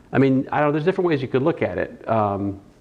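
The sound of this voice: Here a man talks at a fast pace. His pitch is medium and his intonation lively.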